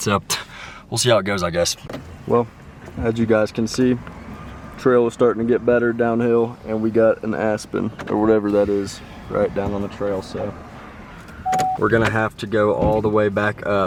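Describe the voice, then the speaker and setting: The speech has long, frequent pauses and fairly even intonation. Noticeable background noise runs underneath. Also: man, fairly low pitch for a man, moderate pace. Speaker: hunting vlogger. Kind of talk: outdoor vlog narration. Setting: in a car.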